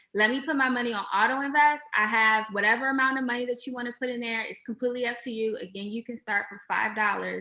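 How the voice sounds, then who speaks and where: Amid noticeable background noise, a woman talks at a very fast pace. Her fairly high voice shows big swings in loudness. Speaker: fintech company representative. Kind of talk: webinar presentation.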